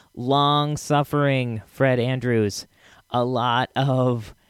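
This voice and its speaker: Here a man talks at a medium pitch. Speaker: podcast host. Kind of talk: casual, friendly podcast intro. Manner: relaxed, chatty, enthusiastic.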